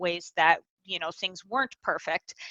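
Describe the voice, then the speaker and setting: Bright and sharp in tone, a woman with an American accent speaks with lively intonation in a dry, close sound with no echo. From United States. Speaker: magazine writer, horror critic. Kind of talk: casual chat.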